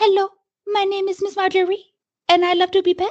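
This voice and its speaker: Using a squeaky, put-on character voice with an extremely high pitch, a woman talks at a fairly quick pace in monotone, flat intonation. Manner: bad, exaggerated French accent.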